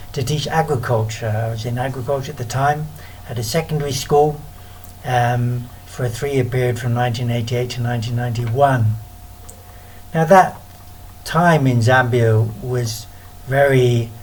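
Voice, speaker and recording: A British accent at a moderate pace, with fairly even intonation, long and frequent pauses, audible room echo and noticeable background noise. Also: man. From UK. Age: 50s. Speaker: missionary. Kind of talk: recorded talk. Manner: halting.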